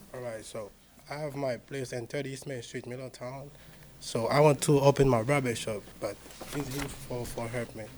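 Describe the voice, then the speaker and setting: Over noticeable background noise, a man at medium pitch talks at a moderate pace in a monotone, flat way, his loudness swinging widely. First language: not English. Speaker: business applicant. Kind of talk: public hearing statement. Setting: city hall meeting room. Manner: halting; quiet. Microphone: far from the mic.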